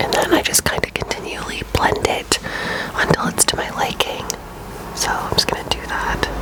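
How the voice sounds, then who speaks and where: Whispering at an even, middling speed, a woman is heard over clear background noise. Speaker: ASMR creator. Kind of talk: ASMR makeup tutorial. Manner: whispered.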